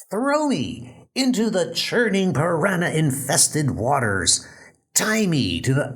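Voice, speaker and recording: A put-on character voice swings very widely in pitch while holding a very even loudness. The pace is fairly slow, and echo is audible. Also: man, fairly high pitch for a man. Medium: audio drama. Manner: excitable, blustering.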